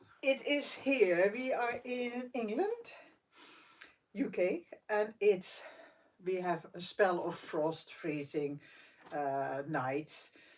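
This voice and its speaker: Loud and very slow, a woman at a medium pitch makes very wide pitch swings and leaves long, frequent pauses. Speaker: meditation vlogger. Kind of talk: casual chat. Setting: live stream from bedroom at night.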